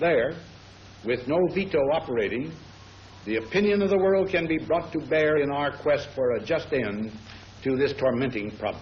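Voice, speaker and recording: A man's ordinary speaking voice, fairly high in pitch, with lively intonation, very even loudness and a moderate pace. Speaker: head of state. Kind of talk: formal policy statement.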